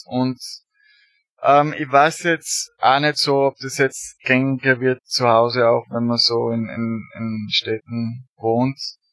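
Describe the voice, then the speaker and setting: Big swings in loudness mark a man's medium-pitched voice, fairly even in intonation, with a dry, close sound and no echo. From Austria, rural area near Graz. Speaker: emigrant interviewee. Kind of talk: casual interview. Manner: halting, many fillers.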